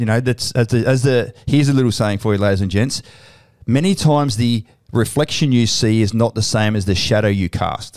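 A man with an Australian accent at a medium pitch and a fairly quick pace, with very even loudness and ordinary pitch variation. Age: 40s. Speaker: podcast host, army veteran and company CEO. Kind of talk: casual interview. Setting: studio with cameras. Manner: animated.

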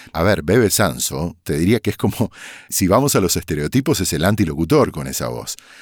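A man speaks at a fairly quick pace in a very deep, low voice with vocal fry and very wide pitch swings. The recording is very clean, with a silent background. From Argentina, Corrientes (Bella Vista). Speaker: voice-over artist. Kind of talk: casual interview.

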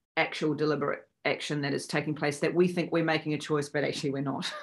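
In a New Zealand accent, a woman speaks with a very deep, low pitch. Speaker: actress. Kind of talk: interview. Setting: video call.

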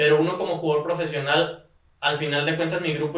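The room echo is audible around a man's voice. His pitch is fairly high and his intonation is monotone and flat. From Mexico, Guadalajara (Jalisco). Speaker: professional esports player. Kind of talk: casual chat.

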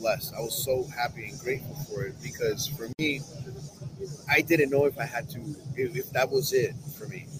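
A man with a fairly high pitch speaks at a moderate pace with fairly even intonation. Background noise is noticeable. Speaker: coatings company rep. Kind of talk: casual chat. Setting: live show at trade conference.

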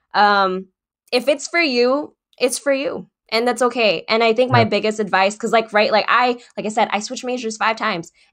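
A normal speaking voice with an American accent moves at a fairly quick pace. Its pitch variation is ordinary. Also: woman, fairly high pitch for a woman. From US West Coast (San Francisco Bay Area). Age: 20s. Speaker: pre-physical therapy student and self-taught web developer. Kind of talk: casual chat. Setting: live-streamed podcast.

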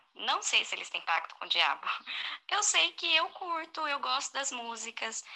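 With a bright, sharp tone and a high pitch, a woman speaks at a fairly slow pace through very wide pitch swings. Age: 30s. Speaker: listener sending voice message, teacher. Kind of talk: recorded voice message.

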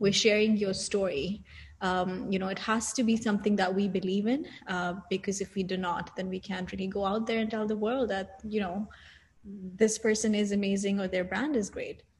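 Against noticeable background noise, a woman with a medium pitch talks at a moderate pace with fairly even intonation. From Saudi Arabia, Indian family. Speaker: business founder. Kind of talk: interview. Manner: hesitant with fillers.

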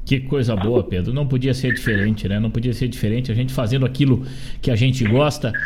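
A man at a medium pitch, talking at a very fast pace over noticeable background noise. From Rio Grande do Sul, Brazil. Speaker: radio host. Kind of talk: radio interview. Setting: studio. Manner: animated.

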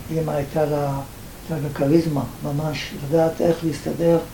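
A man's fairly high voice at a moderate pace, fairly even intonation, noticeable background noise and audible room echo. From Libya (Benghazi). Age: 80s+. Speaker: Holocaust survivor and author. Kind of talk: personal testimony interview.

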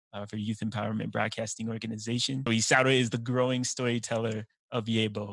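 Speaking with an American accent, a man rattles along at a very fast pace in a medium pitch with monotone, flat intonation. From Utah. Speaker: teacher and podcast host. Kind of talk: casual interview.

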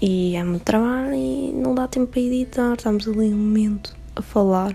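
Amid noticeable background noise, a woman with a European Portuguese accent speaks at a moderate pace, her fairly high pitch carrying lively intonation. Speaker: podcaster. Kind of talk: casual solo monologue. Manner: animated.

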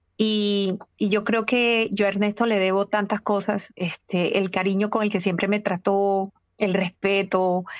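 This woman talks fairly slowly at a medium pitch. Her intonation is monotone and flat, and her loudness stays very even. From Caribbean coast of Colombia. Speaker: journalist and entrepreneur. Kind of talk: interview.

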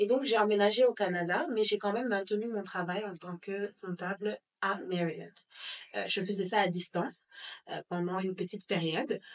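A normal speaking voice talks at a moderate pace with fairly even intonation. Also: woman, medium pitch for a woman. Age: 20s. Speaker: pastry business owner. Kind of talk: interview.

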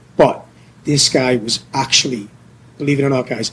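A man's animated voice at medium pitch and moderate pace, over noticeable background noise. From England. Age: 30s. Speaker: podcast co-host, English teacher in Korea. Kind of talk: casual chat. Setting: bar.

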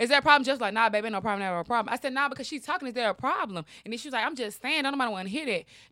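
In a very clean recording with a silent background, a woman speaks very fast with hardly any pauses. Her high-pitched voice is bright and sharp, with lively intonation. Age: 20s. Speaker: podcast co-host. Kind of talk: casual chat.

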